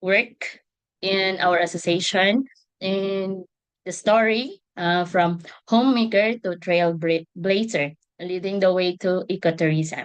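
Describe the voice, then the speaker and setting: Very slowly, a woman speaks with a Visayan Filipino accent. Her pitch is medium and her intonation fairly even. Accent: Filipino (Cebuano) English. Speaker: ecotourism association member. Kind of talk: webinar presentation. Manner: hesitant, many fillers.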